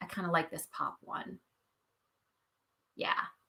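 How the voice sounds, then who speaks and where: Her voice has a bright, sharp tone. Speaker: educator workshop presenter. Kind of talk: tutorial. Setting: live stream.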